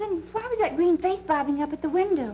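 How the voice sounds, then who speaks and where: Over clear background noise, a woman puts on a squeaky character voice pitched extremely high, talking fairly quickly with lively intonation. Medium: short film. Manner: breathy, gushing, scatterbrained.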